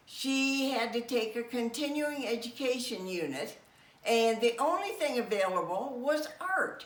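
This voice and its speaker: A woman speaks at a fairly slow pace with a high pitch and lively intonation. Noticeable background noise and audible room echo surround her. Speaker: retiree. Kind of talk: interview.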